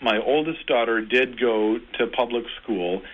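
A man speaks at medium pitch in an unremarkable speaking voice. His intonation is lively and his pace fairly slow. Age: 40s. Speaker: Lutheran pastor. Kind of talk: casual chat.

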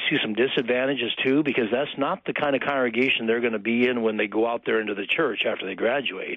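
A man speaking very fast with fairly even intonation, noticeable background noise behind him. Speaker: pastor. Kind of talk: radio interview. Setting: phone call.

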